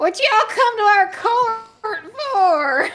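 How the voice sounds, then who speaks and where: A put-on character voice in a Southern US accent, extremely high in pitch, at a very slow pace. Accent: southern drawl. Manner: judgmental, haughty.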